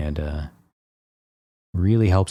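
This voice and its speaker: The voice has a dark, mellow tone and is somewhat breathy. It keeps a moderate pace with ordinary pitch variation. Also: man. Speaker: painter and art teacher. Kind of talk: tutorial. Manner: casual, with many fillers.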